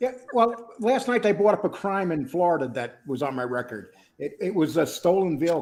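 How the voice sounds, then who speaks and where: This man talks at a moderate pace, his high-pitched voice moving through very wide pitch swings. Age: 60s. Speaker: YouTuber. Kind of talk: casual chat.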